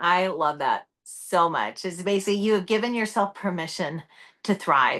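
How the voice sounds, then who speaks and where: Against a quiet background, a woman speaks loudly at a moderate pace, medium in pitch with a bright, sharp tone. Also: ordinary pitch variation. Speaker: entrepreneur and personal brand speaker. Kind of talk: casual chat. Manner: loud, outgoing.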